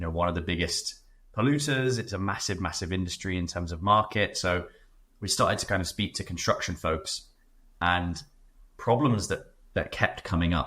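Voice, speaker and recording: Speaking with a British accent, a man has a fairly low pitch and a bright, sharp tone. His pace is moderate with ordinary pitch variation, in a very clean recording with a silent background. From Britain. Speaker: startup founder. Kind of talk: podcast interview. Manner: hesitant, many fillers.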